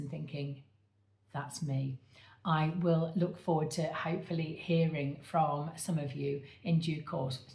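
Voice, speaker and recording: A woman speaks in a flat monotone at a moderate pace, her pitch very deep and low. Her tone is dark and mellow, with some breathiness. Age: 60s. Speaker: medium and coach, author. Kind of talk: direct-to-camera appeal. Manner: halting, with many fillers.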